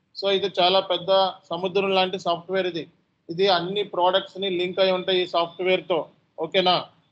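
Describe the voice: This man talks fast with a high pitch. His tone is fairly bright, and his pitch moves little.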